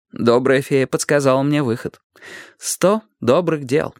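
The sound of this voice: An unforced reading voice with ordinary pitch variation and a quiet background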